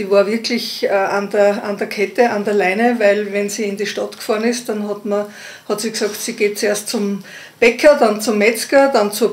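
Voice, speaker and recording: At a moderate pace, a woman with a fairly high pitch talks in a monotone, flat way over noticeable background noise. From Upper Austria, Innkreis. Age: 50s. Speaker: midwife. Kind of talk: casual interview.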